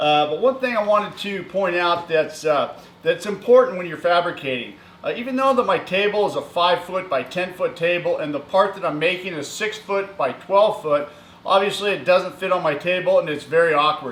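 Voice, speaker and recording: A man is shouting loudly in a high pitch over noticeable background noise. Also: ordinary pitch variation, moderate pace. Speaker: welding and fabrication YouTuber. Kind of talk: workshop tutorial. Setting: metal workshop. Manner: casual, many filler words; loud, yelling across the shop. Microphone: camera far away.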